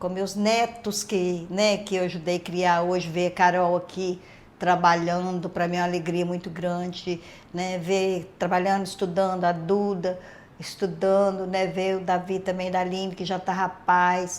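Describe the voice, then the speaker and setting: Fairly slow and monotone, a woman speaks with flat intonation. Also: medium pitch for a woman. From Minas Gerais, Brazil. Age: 60s. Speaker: retired hairdresser. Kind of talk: interview.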